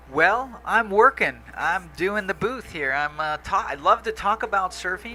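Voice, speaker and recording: Over noticeable background noise, a raised, projected voice with lively intonation moves at a fairly slow pace with hardly any pauses. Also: man, high pitch for a man. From Hawaii. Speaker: surf contest commentator, former surfing champion. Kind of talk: live commentary. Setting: commentary booth.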